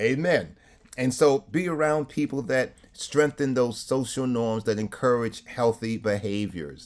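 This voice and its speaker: This man speaks at a medium pitch with a New York accent. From New York City (Harlem). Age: 60s. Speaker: clergy and trauma speaker. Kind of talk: webinar presentation. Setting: video call. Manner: preacherly, punctuated with amens.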